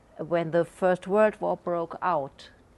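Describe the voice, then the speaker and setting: A woman's fairly low voice with a non-native accent, at a very slow pace and with fairly even intonation. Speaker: artist in conversation at book launch. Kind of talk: discussion. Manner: halting.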